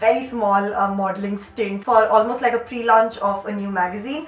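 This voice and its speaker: Her pitch fairly high, a woman talks at a moderate pace while noticeable background noise runs behind her. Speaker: YouTuber and dancer. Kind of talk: casual Q&A vlog. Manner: chatty, animated.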